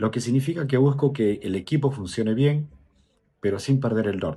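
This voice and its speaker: A man's dark, mellow voice with lively intonation at a moderate pace, against a quiet background. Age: 30s. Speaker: student. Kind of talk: class presentation.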